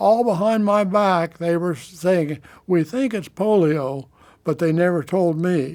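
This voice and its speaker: A man talks at a fairly slow pace with a high pitch and ordinary pitch variation. The recording is very clean, with a silent background. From Kansas. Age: 90s. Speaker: polio survivor. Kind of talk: oral history testimony. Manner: halting, with false starts.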